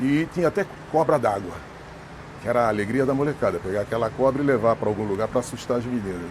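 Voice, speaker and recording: At a very fast pace, a man with a medium pitch speaks with lively intonation over noticeable background noise. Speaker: local resident interviewee. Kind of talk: reminiscing interview.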